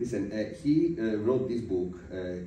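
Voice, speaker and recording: Audible room echo surrounds a man as he speaks. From Italy. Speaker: podcast interviewer. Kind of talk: interview. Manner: halting, many fillers.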